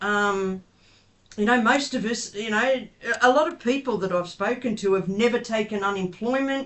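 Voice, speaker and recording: An Australian accent comes through. The talking moves at a moderate pace. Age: 60s. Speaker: advocate and interviewer. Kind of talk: interview. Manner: hesitant, many fillers.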